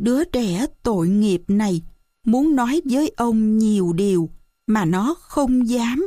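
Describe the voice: Plain reading aloud with lively intonation sits against a quiet background.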